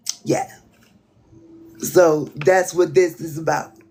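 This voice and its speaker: Speaking with an American accent, a woman talks at a fairly slow pace in a fairly low pitch, with music playing in the background. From Southern US (Alabama/Florida). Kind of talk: casual livestream talk.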